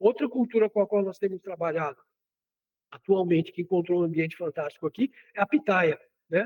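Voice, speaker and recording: Speaking fast but with long, frequent pauses, a man with a high voice and a Cearense accent keeps ordinary pitch variation. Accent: Cearense Northeast Brazilian. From Ceará, Brazil. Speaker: agronomist, soil scientist. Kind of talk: radio interview. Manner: halting, many fillers.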